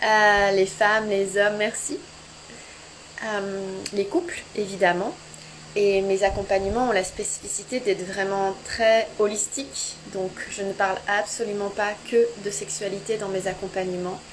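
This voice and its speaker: This soft-spoken woman talks at a medium pitch and a fairly slow pace. Her intonation stays fairly even over noticeable background noise. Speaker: sex and couples therapist. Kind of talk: live social media chat. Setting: home, Instagram live.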